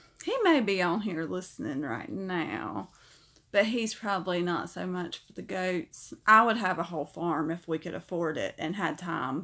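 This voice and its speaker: With a Southern US accent, this voice has a bright, sharp tone, vocal fry, lively intonation and big swings in loudness, captured on a very clean recording with a silent background. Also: woman, fairly low pitch for a woman, moderate pace. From US South. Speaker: pet channel streamer. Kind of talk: live stream chat. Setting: live stream. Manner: casual, chatty.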